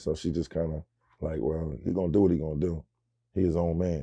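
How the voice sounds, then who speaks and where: A man speaks at a very fast pace in a dark, mellow tone. The background is quiet. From North Philadelphia; Philadelphia. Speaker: rapper; interview guest. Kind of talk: interview. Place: studio.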